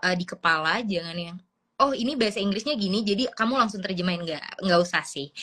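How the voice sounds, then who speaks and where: Using an unremarkable speaking voice, a woman talks at a fairly quick pace with a medium pitch and ordinary pitch variation. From Papua, Indonesia. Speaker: graduate student abroad. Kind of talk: interview. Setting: Instagram live stream.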